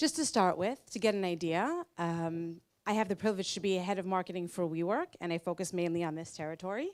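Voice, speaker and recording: A woman's ordinary speaking voice, medium in pitch, with an American accent, lively intonation and a fairly quick pace, on a very clean recording with a silent background. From United States. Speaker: marketing executive, conference speaker. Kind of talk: conference talk.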